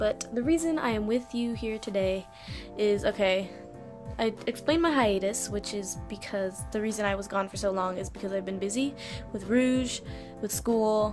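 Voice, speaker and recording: A woman speaks at a moderate pace. Music is clearly heard in the background. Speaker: vlogger. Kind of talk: casual vlog chat. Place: home room. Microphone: webcam.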